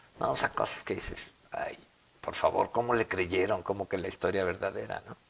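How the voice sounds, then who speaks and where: Noticeable noise sits behind the speaker. He is a man talking at a moderate pace. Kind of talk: interview.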